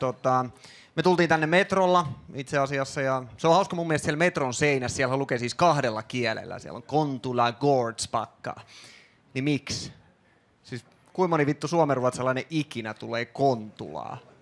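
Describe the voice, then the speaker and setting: Using a plain, everyday voice, a man speaks in a fairly high pitch at a moderate pace with ordinary pitch variation. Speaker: stand-up comedian. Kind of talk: stand-up comedy. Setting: stage with audience. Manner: casual, conversational, rambling with filler words.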